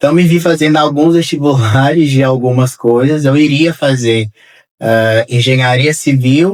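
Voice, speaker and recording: A man with a normal speaking voice talks fairly slowly at a fairly high pitch, keeping very even loudness and ordinary pitch variation. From Brazil, Minas Gerais. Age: 30s. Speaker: architect. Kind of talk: interview.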